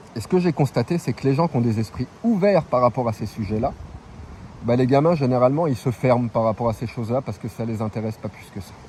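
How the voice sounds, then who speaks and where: Talking at a very fast pace, a man uses medium pitch with ordinary pitch variation. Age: 40s. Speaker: travelling vlogger. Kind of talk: opinion monologue. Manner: casual, hesitant with repetitions.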